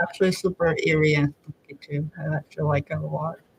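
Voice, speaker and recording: At a moderate pace, the speaker sounds soft-spoken. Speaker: artist streaming a drawing session. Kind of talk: casual live stream chat. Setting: live stream. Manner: halting, many fillers.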